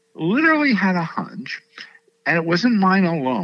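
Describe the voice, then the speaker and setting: Speaking with an American accent, a man lets his pitch swing very widely. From New York City. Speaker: learning researcher and conference host. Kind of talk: interview.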